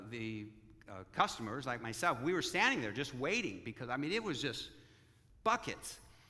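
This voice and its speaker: With audible room echo around him, a man speaks in a bright, sharp tone with lively intonation. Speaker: pastor. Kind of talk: sermon. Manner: halting.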